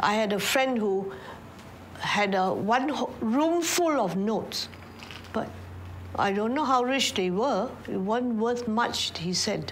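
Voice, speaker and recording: A very slow pace with lively intonation, long, frequent pauses, audible room echo and noticeable background noise. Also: woman, fairly high pitch for a woman. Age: 80s+. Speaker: war survivor. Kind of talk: testimony.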